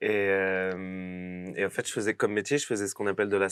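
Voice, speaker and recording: On a very clean recording with a silent background, a man with a fairly low pitch talks at a fairly quick pace. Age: 30s. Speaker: actor. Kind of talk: interview. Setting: podcast studio. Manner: hesitant, many fillers; casual.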